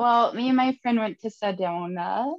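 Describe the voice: Speaking in a northern Minnesota accent, a woman uses a fairly high pitch with ordinary variation at a moderate pace.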